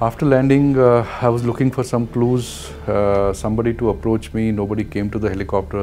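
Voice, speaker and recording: Talking at a very fast pace with hardly any pauses, a man uses a fairly low pitch and ordinary pitch variation. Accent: Indian. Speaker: commercial helicopter pilot. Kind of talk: interview answer. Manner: hesitant, frequent fillers.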